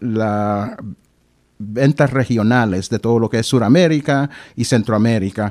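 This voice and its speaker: A man speaks in a plain, everyday voice at a medium pitch with ordinary pitch variation. His fairly slow delivery comes on a very clean recording with a silent background. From Honduras, then Boston from age 15. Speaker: government diversity official and local historian. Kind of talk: radio interview. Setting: radio studio.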